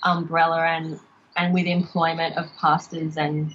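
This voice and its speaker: Speaking with an Australian accent, a woman uses a fairly low pitch at a moderate pace. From Australia, Logan near Brisbane, Queensland. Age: 30s. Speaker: podcast guest, former evangelical. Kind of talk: casual interview chat. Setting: Skype call. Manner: hesitant, many fillers.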